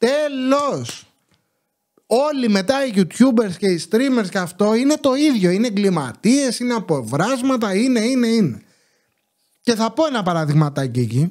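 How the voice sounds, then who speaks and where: Against a quiet background, the speaker talks at a fairly slow pace in an animated tone with very wide pitch swings. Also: man, high pitch for a man. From Greece. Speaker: YouTuber commentator. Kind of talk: casual monologue commentary. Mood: sarcastic, indignant. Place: home room. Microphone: studio mic.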